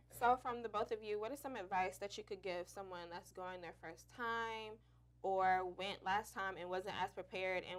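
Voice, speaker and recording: Fairly even intonation at a moderate pace, in an unremarkable speaking voice. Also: woman. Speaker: student talk show host. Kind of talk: casual chat.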